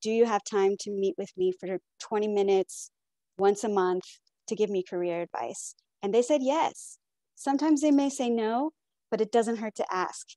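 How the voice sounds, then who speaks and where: Her tone is dark and mellow, with ordinary pitch variation. The woman's voice sounds dry with no echo, against a quiet background. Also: fairly high pitch for a woman, moderate pace. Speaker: keynote speaker, supply chain professional; keynote speaker. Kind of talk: keynote address. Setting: video call. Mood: encouraging. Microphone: earbuds.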